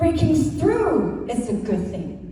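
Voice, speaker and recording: Very slow speech with very wide pitch swings is heard through audible room echo and noticeable background noise. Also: woman. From Hong Kong. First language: Cantonese. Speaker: Mandarin teacher. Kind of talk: school assembly speech.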